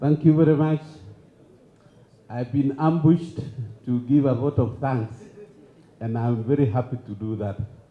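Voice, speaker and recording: A man with a medium pitch and ordinary pitch variation speaks at a moderate pace. His voice is somewhat breathy, with long, frequent pauses. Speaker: engineer. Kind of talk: vote of thanks speech.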